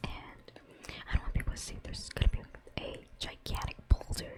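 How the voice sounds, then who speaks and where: A whisper moves along at a moderate pace. Noticeable background noise can be heard behind it. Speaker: game streamer. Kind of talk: casual live-stream talk to chat.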